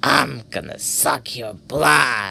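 A put-on character voice, growling and raspy, carries a menacing tone. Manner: growling and menacing.

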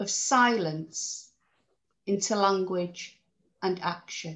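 A woman speaks at a very slow pace with lively intonation. The background is quiet. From UK. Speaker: social work lecturer and therapist; social work lecturer. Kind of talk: lecture. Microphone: video call.

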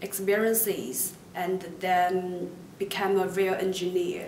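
A woman speaks with a Chinese accent and fairly even intonation. Audible room echo and light background noise surround her voice. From China. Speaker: university student. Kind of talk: promotional testimonial interview. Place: classroom.

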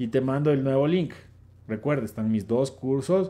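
With a dark, mellow tone, a man speaks at a fairly slow pace. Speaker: live-stream host and dating coach; live-stream host, dating coach. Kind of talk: casual live stream answering chat questions. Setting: online live stream. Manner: animated. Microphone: phone near.

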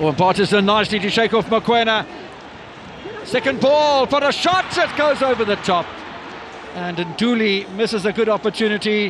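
Amid noticeable background noise, a man with a high pitch speaks with lively intonation and long, frequent pauses. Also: moderate pace. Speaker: play-by-play commentator. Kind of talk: live football commentary, play-by-play over the action with occasional banter. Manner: conversational, with hesitations and fillers.

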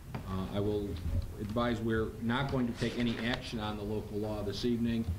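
Against noticeable background noise, a man talks at a fairly quick pace with ordinary pitch variation. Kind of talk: formal meeting procedure. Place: hall. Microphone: podium.

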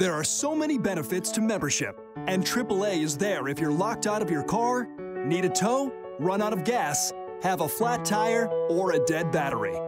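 Over music in the background, a man with a high voice talks at a moderate pace, his loudness very even. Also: lively intonation. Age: young. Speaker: TV host. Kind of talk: TV commercial read.

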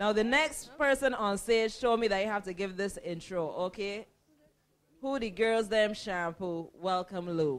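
Delivered at a fairly slow pace, the voice has a fairly bright tone and ordinary pitch variation.

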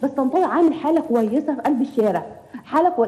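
Over noticeable background noise, the speaker talks very fast in an Egyptian accent with ordinary pitch variation. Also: woman. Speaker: caller. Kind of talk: phone-in commentary.

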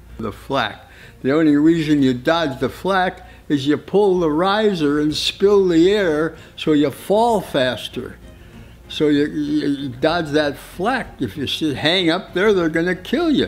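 Over faint music in the background, a man speaks at a very slow pace. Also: ordinary pitch variation. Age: 80s+. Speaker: war veteran. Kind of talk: interview answer. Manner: halting, hesitant. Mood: vivid, emphatic recollection. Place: home room.

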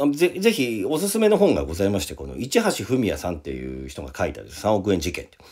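A man at a very fast pace with hardly any pauses, an animated tone and big swings in loudness. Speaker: radio host and rock festival organizer. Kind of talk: casual solo radio talk.

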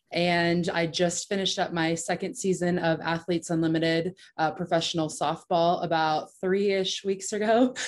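With a normal speaking voice, this woman speaks in a fairly low register, keeping her intonation fairly even and barely pausing. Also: moderate pace, very even loudness. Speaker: professional softball pitcher. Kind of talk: panel discussion. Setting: video call.

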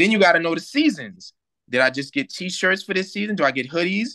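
A man speaks fairly quickly in a bright, sharp tone with very wide pitch swings. The background is quiet. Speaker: remote guest. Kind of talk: interview answer. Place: home room. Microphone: video call.

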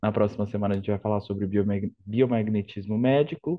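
Fairly low in pitch, a man has a plain, everyday voice. He moves at a fairly quick pace with ordinary pitch variation. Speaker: academic coordinator. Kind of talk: event moderation. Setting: video call.

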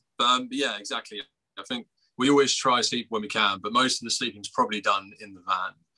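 Against a quiet background, a man with an English accent speaks at a very fast pace with big swings in loudness. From England. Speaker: punk band musician and lyricist. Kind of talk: casual interview. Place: home room. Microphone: video call.

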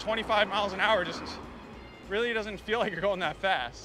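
A raised, projected voice over faint background music, dry with no echo. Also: man. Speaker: bike reviewer. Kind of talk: ride-along product review. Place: bicycle. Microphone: phone near.

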